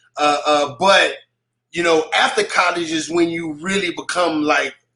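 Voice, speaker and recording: A moderate pace and monotone, flat intonation in an American accent, with music in the background. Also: man. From Texas, Waco. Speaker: hip hop artist. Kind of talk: radio interview. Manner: halting.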